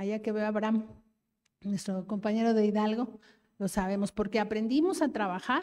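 A woman speaks at a fairly high pitch with a dark, mellow tone. The background is quiet. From Mexico City (Iztapalapa); Mexico City. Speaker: government official; speaker. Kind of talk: public speech at a forum. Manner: halting with fillers. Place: hall. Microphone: handheld.

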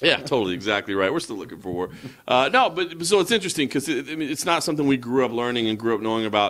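Very wide pitch swings mark this very fast delivery in an American accent. The background is quiet. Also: man. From United States. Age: 40s. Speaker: MMA journalist. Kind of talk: casual chat. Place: home room. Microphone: handheld.

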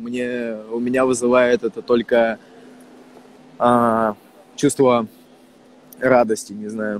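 Very slow, monotone, flat speech with long, frequent pauses, a dry sound with no echo and light background noise. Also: man. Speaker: rapper. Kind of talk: casual livestream chat with viewers. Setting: livestream video call. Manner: loose, slangy, heavy swearing. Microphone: earbuds.

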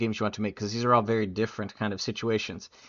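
A man talks at a very fast pace. His background is quiet. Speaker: game development coach and gameplay engineer; game development coach. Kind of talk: tutorial. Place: home room. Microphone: webcam.

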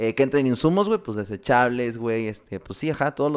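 A man with a Mexican accent talks at a very fast pace against a quiet background. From Mexico. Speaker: podcast host. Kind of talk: casual chat. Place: home room. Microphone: studio mic.

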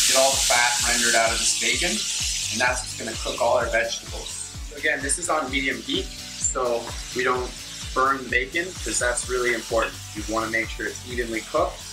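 Clear music plays in the background as the speech moves at a fairly quick pace. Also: man. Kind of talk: tutorial. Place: kitchen.

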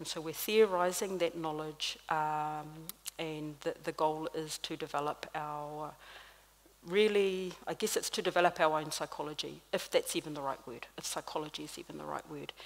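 A woman speaks at a very deep, low pitch and a moderate pace. Her intonation is fairly even, with big swings in loudness. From New Zealand, Māori. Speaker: clinical psychologist and lecturer; lecturer. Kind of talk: panel talk; public talk. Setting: stage with audience. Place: stage. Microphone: podium.

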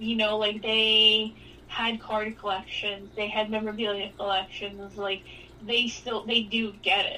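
A woman's fairly high, monotone, flat delivery at a fairly slow pace, with noticeable background noise. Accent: New York. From New York City, the Bronx. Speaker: sports card industry veteran and former sports writer. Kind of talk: casual interview chat.

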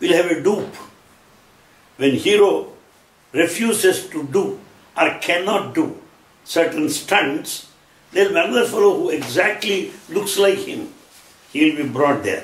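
Speaking with an Indian accent, a man with a high voice swings his pitch very widely and leaves long, frequent pauses, with audible room echo around him. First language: Telugu. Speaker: lecturer on Sai Baba teachings. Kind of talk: lecture. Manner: formal. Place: home room.

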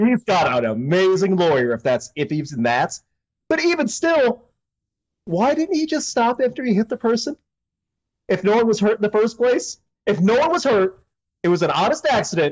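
Long, frequent pauses break up speech delivered at a moderate pace against a quiet background. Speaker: podcast co-host. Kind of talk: casual commentary on news. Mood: amused, joking. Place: home room.

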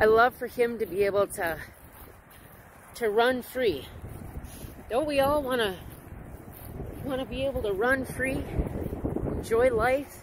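Speech comes at a fairly slow pace with long, frequent pauses. The sound is dry with no echo, over noticeable background noise. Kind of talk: casual vlog chat. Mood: warm, reflective, amused. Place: open country. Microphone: phone near.

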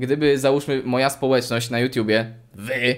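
The background stays quiet. A man talks at a middle pitch. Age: 20s. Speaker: YouTuber. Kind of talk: casual chat. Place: home room.

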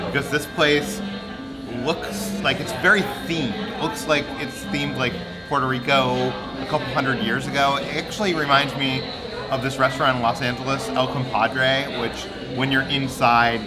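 Behind a man talking at a medium tempo, music plays clearly. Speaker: travel vlogger. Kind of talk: casual vlog chat. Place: cafe. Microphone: phone near.

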